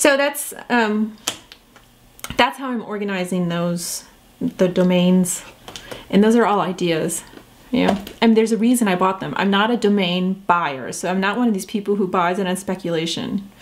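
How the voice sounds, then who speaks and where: A woman talks at a moderate pace with a medium pitch and ordinary pitch variation. Noticeable background noise sits behind her. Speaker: entrepreneur vlogger. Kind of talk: casual vlog talk. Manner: hesitant, many fillers and restarts.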